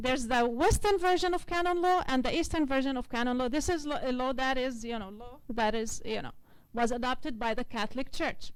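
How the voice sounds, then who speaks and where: Audible room echo surrounds a woman with a high pitch. She talks at a fairly quick pace with lively intonation. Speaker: legal researcher presenting at conference. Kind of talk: conference presentation.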